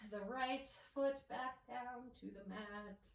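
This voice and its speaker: Audible room echo surrounds the speaker. She is a woman with a somewhat breathy voice. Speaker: yoga instructor. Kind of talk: guided yoga class. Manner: calm, instructive.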